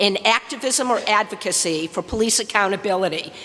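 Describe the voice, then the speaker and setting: A woman with an American accent at a moderate pace, noticeable background noise behind her. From US Midwest, Detroit. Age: 60s. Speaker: activist. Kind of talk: public comment. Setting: public meeting. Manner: forceful.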